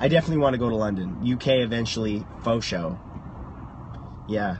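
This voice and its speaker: A man speaks at a moderate pace. Light background noise can be heard. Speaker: livestreamer. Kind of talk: casual vlog chat. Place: car. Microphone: phone near.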